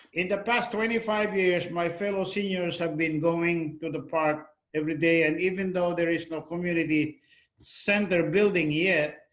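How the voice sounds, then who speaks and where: Fairly even intonation in a Filipino accent. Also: man. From Philippines. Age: 70s. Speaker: retired navy veteran. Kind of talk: testimony. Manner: halting.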